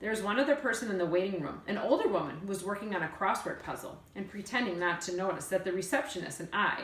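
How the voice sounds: Reading in a natural voice.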